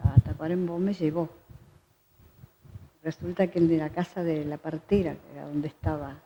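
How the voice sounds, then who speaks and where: Speaking at a moderate pace, a woman has a very deep, low pitch and a dark, mellow tone, with ordinary pitch variation. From Uruguay, Salto. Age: 80s+. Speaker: choir director. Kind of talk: interview.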